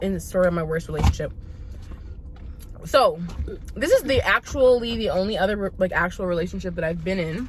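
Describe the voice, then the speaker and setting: A woman at a very fast pace with long, frequent pauses, music in the background. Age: 30s. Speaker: vlogger. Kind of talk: casual storytelling while eating.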